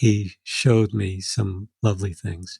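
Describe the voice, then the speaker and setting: A man is speaking in a very clean recording with a silent background. The sound is dry and close, with no echo. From New York City. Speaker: second-generation Holocaust survivor. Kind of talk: interview. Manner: halting.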